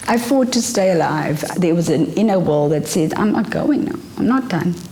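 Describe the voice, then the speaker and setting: With lively intonation and a medium pitch, a woman talks at a fairly slow pace over noticeable background noise and audible room echo. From South Africa, Port Elizabeth. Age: 40s. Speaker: filmmaker. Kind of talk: interview testimony.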